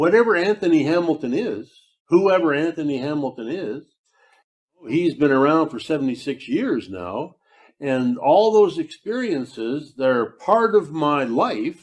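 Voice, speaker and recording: A man with a fairly high voice speaks at a fairly slow pace, his pitch swinging very widely, against a quiet background. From England, Bedford. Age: 70s. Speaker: author and speaker. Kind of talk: public talk.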